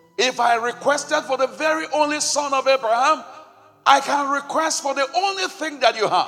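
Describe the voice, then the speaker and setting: A man speaks in an extremely high, raised and projected voice with an intense tone and ordinary pitch variation over noticeable background noise. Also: moderate pace. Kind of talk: fervent prayer and renunciation led before a congregation, full of pleading and praise. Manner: intense, urgent, commanding, rising in emphasis as a preacher would; repetitive, rhythmic, declaring each line with conviction.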